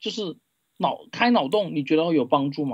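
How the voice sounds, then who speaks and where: A man talks at a fairly quick pace. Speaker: livestream call-in guest. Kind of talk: casual chat. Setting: online voice call. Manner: halting.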